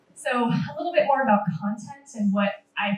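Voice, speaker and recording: A woman talks with an American accent in a somewhat breathy voice. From San Francisco Bay Area, US. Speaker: museum social media manager. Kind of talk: panel presentation.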